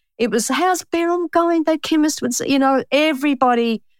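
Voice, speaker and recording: With an Australian accent and lively intonation, a woman comes through on a very clean recording with a silent background and a dry, close sound with no echo. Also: very even loudness. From Australia, Melbourne (Pascoe Vale). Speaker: bookkeeper and author. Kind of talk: interview.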